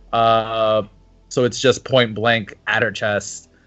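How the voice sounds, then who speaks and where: Very slow speech from a man at a medium pitch, with music in the background. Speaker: podcast co-host. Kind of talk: casual chat.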